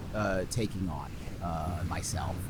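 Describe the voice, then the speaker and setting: The man talks at a fairly slow pace. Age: 40s. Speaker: podcast host. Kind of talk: comedic improv bit. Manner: animated.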